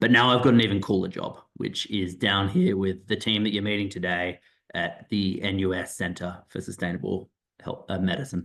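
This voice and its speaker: Here a man speaks with an Australian accent at a moderate pace. His fairly low voice keeps a fairly even intonation. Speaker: doctor and professor. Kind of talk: presentation on online info session. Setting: video call. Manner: hesitant, repeating words.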